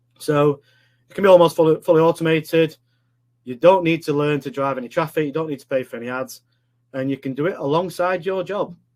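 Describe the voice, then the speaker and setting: A man with a Yorkshire accent talks very fast, his fairly high voice showing ordinary pitch variation and big swings in loudness. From northern England, Sheffield, Yorkshire. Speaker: online business coach. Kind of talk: live webinar presentation. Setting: live online stream. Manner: casual, filler-heavy.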